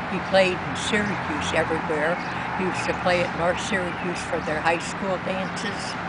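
Loud background noise accompanies a woman talking at a moderate pace in a dry sound with no echo. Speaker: interviewee. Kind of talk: interview answer. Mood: warm, reminiscing. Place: garden. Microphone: camera far.

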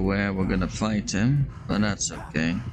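Music plays in the background as a man talks at a fairly slow pace with ordinary pitch variation. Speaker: vtuber. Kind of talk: gaming let's play commentary. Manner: calm, chill.

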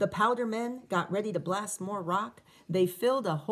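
Reading aloud in a natural voice, with pitch shifting by ordinary amounts

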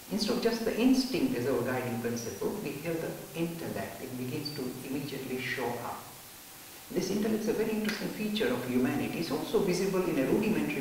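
A man talks at a very fast pace in a room with strong echo and light background noise. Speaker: spiritual teacher. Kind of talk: lecture. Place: classroom.

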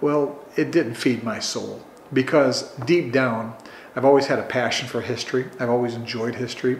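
Noticeable background noise sits behind a man with a northern US accent who speaks quickly at a medium pitch, his intonation fairly even. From Chicago suburbs, Illinois. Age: 60s. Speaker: oral history interviewee. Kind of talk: oral history interview.

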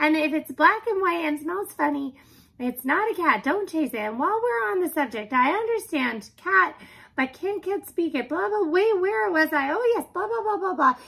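A woman puts on a character voice at an extremely high pitch, with vocal fry, a fairly bright tone, lively intonation and a moderate pace.

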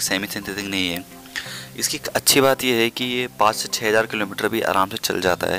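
Over faint music in the background, a man speaks at a moderate pace in a fairly low pitch, with ordinary pitch variation and a dry sound with no echo. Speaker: home mechanic vlogger. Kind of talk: tutorial. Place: garage.

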